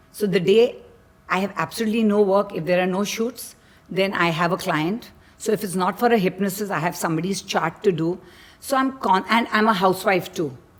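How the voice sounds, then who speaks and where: Noticeable background noise sits behind a woman speaking at a fairly quick pace. Her medium pitch shows ordinary pitch variation. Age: 60s. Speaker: model. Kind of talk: casual chat.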